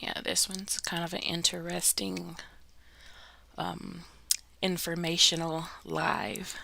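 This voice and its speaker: The speech moves at a very slow pace with long, frequent pauses, and noticeable background noise sits behind it. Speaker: livestream host. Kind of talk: casual informational livestream. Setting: live stream.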